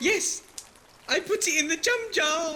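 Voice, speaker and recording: A squeaky, put-on character voice moves at a fairly slow pace, with music in the background. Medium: audio drama. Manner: blurting, repeating others.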